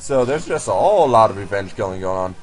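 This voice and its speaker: With music playing behind him, a man speaks fairly quickly and with lively intonation. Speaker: gaming commentator. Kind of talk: game commentary voice-over. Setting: laptop recording.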